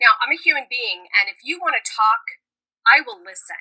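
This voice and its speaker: A woman with an American accent projects a raised, bright, sharp voice at a high pitch with very wide pitch swings, the sound dry and close with no echo. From New York / New Jersey. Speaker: yoga therapist. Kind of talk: casual interview.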